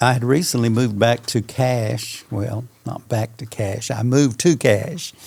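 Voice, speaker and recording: With an American accent, a man speaks in a somewhat breathy, medium-pitched voice at a fairly slow pace, hardly pausing at all. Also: ordinary pitch variation. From Oklahoma. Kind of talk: interview, casual reflection. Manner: halting, many fillers.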